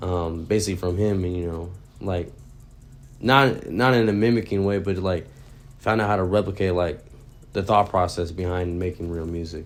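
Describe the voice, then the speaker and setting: With music in the background, a man with an American accent speaks in a very deep, low pitch at a moderate pace, leaving long, frequent pauses. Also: fairly even intonation. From Texas, San Antonio. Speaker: rapper. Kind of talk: interview. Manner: casual, many fillers.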